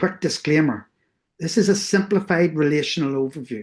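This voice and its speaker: At a moderate pace, a woman with a Northern Irish accent speaks in a very deep, low pitch with ordinary pitch variation. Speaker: researcher. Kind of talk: lecture.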